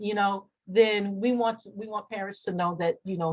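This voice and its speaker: A somewhat breathy woman's voice at a moderate pace, with fairly even intonation. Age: 60s. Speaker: mental health clinician. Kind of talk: workshop presentation. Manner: halting.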